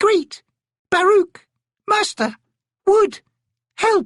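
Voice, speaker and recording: A squeaky, put-on character voice talks at an extremely high pitch. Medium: read story. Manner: terse, excited, one-word bursts.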